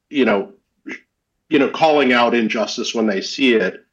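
With an American accent, a man with an ordinary speaking voice talks in lively intonation. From US, Egyptian heritage. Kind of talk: panel discussion.

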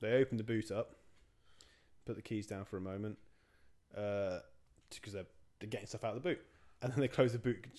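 A man with an English accent and a dark, mellow tone speaks at a fairly quick pace with long, frequent pauses, at a fairly low pitch with ordinary pitch variation. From England. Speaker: podcast co-host. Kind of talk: casual chat. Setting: home recording.

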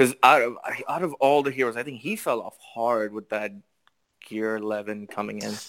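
A man with a Canadian accent and a normal speaking voice, medium in pitch, at a moderate pace with ordinary pitch variation and big swings in loudness, in a very clean recording with a silent background. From Canada, Toronto. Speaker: mobile game player guest. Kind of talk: casual chat.

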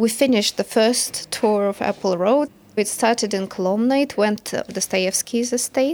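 A woman's medium-pitched voice with a Russian accent, ordinary pitch variation, and a moderate pace, on a very clean recording with a silent background. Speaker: project coordinator. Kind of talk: interview.

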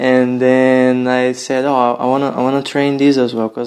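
A man with a Brazilian accent at medium pitch, moderate pace and monotone, flat intonation. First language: Portuguese. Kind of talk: casual interview conversation. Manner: relaxed, friendly.

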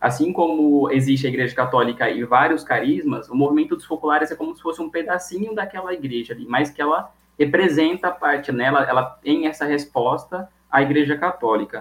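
A man talks at a fairly quick pace with hardly any pauses, his fairly high pitch showing ordinary variation. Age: 20s. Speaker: architecture student. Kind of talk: interview. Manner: halting.

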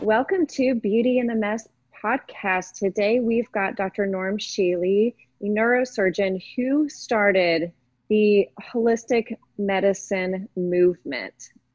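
With a fairly high pitch and ordinary pitch variation, a woman talks at a very slow pace. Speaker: podcast host. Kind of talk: interview.

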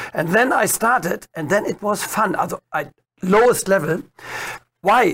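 With a German accent, a man speaks at a high pitch and a fairly slow pace. His intonation is lively, with long, frequent pauses. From Germany. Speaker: dressage trainer. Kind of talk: interview.

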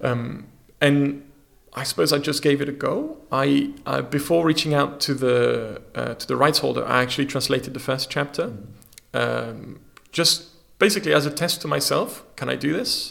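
A man talks at a moderate pace. He speaks with a French accent. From France. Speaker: magazine publisher and creative technologist. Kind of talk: interview conversation. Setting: studio.

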